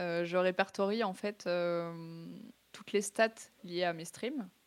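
In a very clean recording with a silent background, a woman talks at a very slow pace. Her pitch is medium and her intonation fairly even. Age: 20s. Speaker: esports student and streamer. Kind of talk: interview. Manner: casual, slangy with hesitations.

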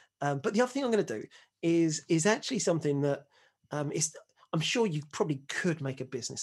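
Very wide pitch swings stand out against a quiet background. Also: man. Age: 40s. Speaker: single dad on dating podcast. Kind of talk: casual chat.

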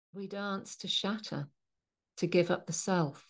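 At a very slow pace, a woman speaks in a somewhat breathy voice with a warm tone against a quiet background. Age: 60s. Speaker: spiritual practitioner and podcast host. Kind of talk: solo podcast monologue with spoken-word poetry reading. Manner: reflective, slow, contemplative; warm, sincere, heartfelt.

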